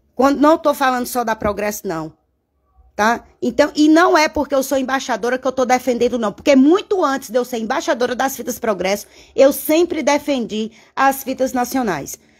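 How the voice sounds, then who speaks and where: A woman speaks in a high voice at a moderate pace, animated and with lively intonation. The background is quiet. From interior of Bahia, Brazil. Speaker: bow-making artisan and craft YouTuber; craft YouTuber. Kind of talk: live-stream craft tutorial and chat. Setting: home studio. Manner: animated, chatty. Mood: animated, venting at times. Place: workshop. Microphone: phone near.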